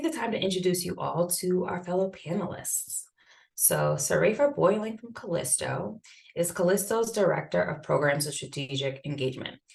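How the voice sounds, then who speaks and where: A woman with a slight Boston accent speaks at a moderate pace and a fairly low pitch, her intonation lively. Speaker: event moderator. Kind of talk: reading panelist introductions. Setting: Zoom video call.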